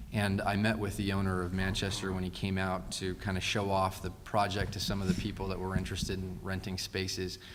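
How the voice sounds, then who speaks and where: Audible room echo surrounds a man whose very deep, low voice runs at a fairly quick pace in a monotone, flat intonation with hardly any pauses. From Fresno, California. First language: Spanish. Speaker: city council candidate, attorney. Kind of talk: candidate forum answers. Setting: public forum with audience. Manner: hesitant, many fillers.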